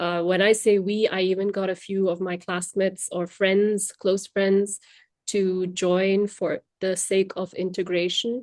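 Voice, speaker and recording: A woman with a Tamil accent talks at a fairly slow pace, her medium pitch held in a monotone, flat intonation. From India. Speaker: language trainer. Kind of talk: podcast interview.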